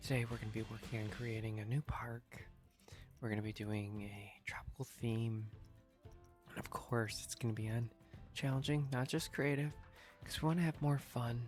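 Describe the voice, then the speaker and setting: A soft-spoken man talks at a moderate pace and medium pitch, with ordinary pitch variation. He leaves long, frequent pauses while music plays in the background. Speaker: gaming ASMR sleep channel host. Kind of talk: sleep-aid gameplay commentary.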